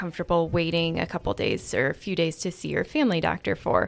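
In a Midwestern American accent, a woman speaks with a fairly low pitch. Her intonation is fairly even and her pace fairly quick. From Iowa, US Midwest. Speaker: physician assistant. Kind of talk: casual interview.

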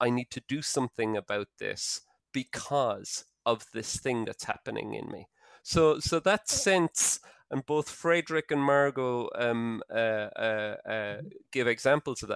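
A man with an Irish accent talks at a medium pitch. The recording is dry and close with no echo, and the background is quiet. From Ireland. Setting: video call.

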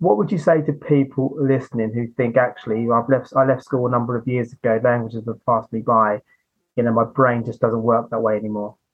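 With a plain, everyday voice, a man talks at a fairly quick pace. His pitch is medium and his intonation fairly even. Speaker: podcast host. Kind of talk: casual interview chat.

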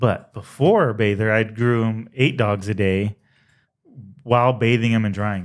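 A man speaks at a fairly slow pace with a medium pitch. His intonation is fairly even, and it's an unremarkable speaking voice. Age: 30s. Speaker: dog groomer and salon owner. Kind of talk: casual chat.

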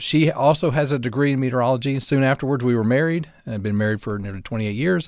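A man with a Southern US accent, medium pitch and lively intonation, on a very clean recording with a silent background. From US South, North Alabama. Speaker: meteorologist. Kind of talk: casual chat.

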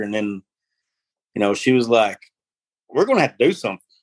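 A man speaks with an Arkansas accent at a medium pitch. His intonation is fairly even, and the sound is dry and close with no echo. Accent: US Southern (Arkansas). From northeast Arkansas. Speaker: farm worker, former oil field worker. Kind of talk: interview testimony.

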